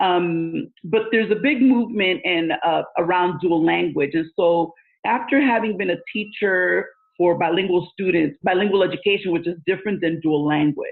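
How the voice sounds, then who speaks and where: A woman speaks with a Spanish accent at a medium pitch. Her loudness stays very even, and her pitch varies in an ordinary way. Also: moderate pace. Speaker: school administrator and education consultant. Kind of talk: interview. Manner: many filler words.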